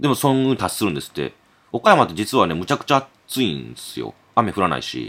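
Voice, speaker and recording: A man talking very fast on a very clean recording with a silent background. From Okayama, Japan. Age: 40s. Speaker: podcast host. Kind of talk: casual chat.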